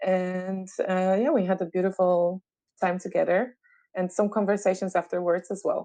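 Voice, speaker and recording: A woman with a Polish accent speaks in a dark, mellow tone at medium pitch, her intonation monotone and flat, against a quiet background. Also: moderate pace. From Poland. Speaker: sound therapist. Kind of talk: interview conversation.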